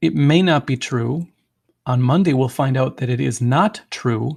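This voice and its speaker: A man speaks at a moderate pace, his voice somewhat breathy, with lively intonation. The background is quiet. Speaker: math teacher. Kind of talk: recorded video lecture.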